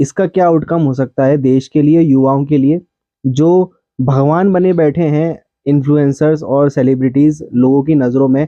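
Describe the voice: The pitch varies in an ordinary way. The sound is dry and close, with no echo. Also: man.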